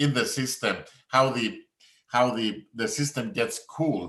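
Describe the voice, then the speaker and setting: With a Greek accent and lively intonation, the voice moves at a moderate pace amid audible room echo. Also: man. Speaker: professor. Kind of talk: conference talk. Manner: halting.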